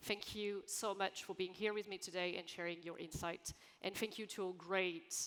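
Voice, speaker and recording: Monotone, flat intonation from a woman at medium pitch. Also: moderate pace. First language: French. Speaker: panel moderator. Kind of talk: panel discussion. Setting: conference stage with audience.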